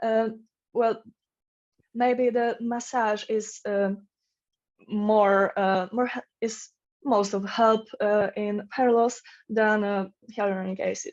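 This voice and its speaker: With a non-native accent, a woman speaks at a very slow pace in a fairly high pitch, her intonation monotone and flat, with long, frequent pauses over a quiet background. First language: not English. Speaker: conference presenter. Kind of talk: conference Q&A. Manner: halting, many fillers.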